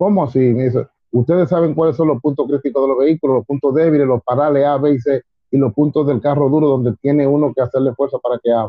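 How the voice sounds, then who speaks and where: With a Dominican accent, a man speaks at a very fast pace in a fairly high pitch. His intonation is fairly even and his loudness very even. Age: 50s. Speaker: civil defense emergency brigade chief. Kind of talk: interview.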